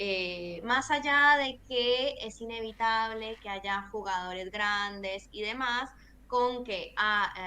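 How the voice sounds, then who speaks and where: Speaking at a very slow pace, a woman uses a fairly high pitch with ordinary pitch variation. Her tone is bright and sharp. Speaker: environmental lawyer and activist. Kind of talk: interview.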